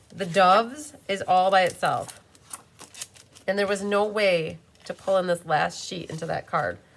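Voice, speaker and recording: An animated woman's voice at a medium pitch, fairly slow, with ordinary pitch variation and long, frequent pauses. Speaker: card-making demonstrator. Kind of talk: live craft tutorial. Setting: YouTube live stream.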